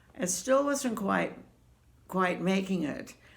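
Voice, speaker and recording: Against audible room echo, a woman speaks at a medium pitch with lively intonation. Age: 80s+. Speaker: quilter answering viewer questions. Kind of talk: casual chat. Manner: halting, many fillers.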